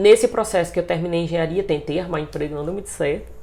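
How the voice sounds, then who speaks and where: With vocal fry and a dark, mellow tone, a woman speaks with ordinary pitch variation. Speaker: singer and choir conductor. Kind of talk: interview. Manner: casual, hesitant.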